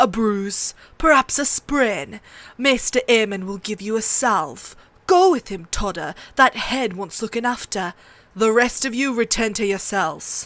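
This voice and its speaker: A woman's put-on character voice, fairly high and lively in intonation, at a moderate pace on a very clean recording with a silent background. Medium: read story. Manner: gruff, commanding.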